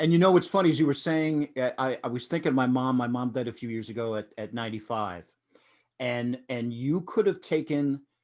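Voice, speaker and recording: Against a quiet background, a man with a plain, everyday voice speaks at a fairly quick pace. His pitch is medium, and his intonation is lively. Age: 50s. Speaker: podcast host. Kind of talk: casual chat.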